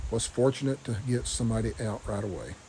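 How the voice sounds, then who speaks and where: In a strong Southern US accent, the speaker talks at a fairly quick pace with a dark, mellow, somewhat breathy tone and ordinary pitch variation. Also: man. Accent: deep Southern. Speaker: vlogger. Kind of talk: video diary. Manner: stumbling on words.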